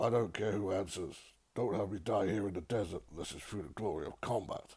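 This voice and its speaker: A man puts on a raspy character voice at a fairly low pitch. He talks at a fairly quick pace. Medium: read story.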